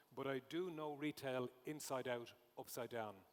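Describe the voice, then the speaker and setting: This speaker has an Irish accent. The pitch varies in an ordinary way. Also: man. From Ireland. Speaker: conference speaker, retail consultant. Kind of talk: conference talk.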